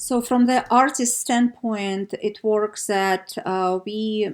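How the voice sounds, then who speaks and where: A woman with a Russian accent speaks at a very slow pace, her pitch varying in an ordinary way. The recording is very clean, with a silent background. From Siberia, Russia. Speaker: art producer. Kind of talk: casual interview. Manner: halting, hesitant with frequent fillers.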